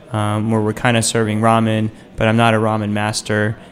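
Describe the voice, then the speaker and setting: A man's voice sits at a medium pitch. Noticeable noise runs in the background. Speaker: radio host. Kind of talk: casual chat. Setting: studio.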